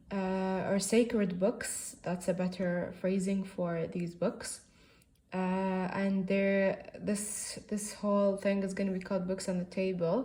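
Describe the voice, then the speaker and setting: Over noticeable background noise, a woman talks at a fairly slow pace in a monotone, flat intonation. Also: medium pitch for a woman. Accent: Arabic. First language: Arabic. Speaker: book reviewer. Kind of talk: casual book review monologue. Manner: halting, many fillers.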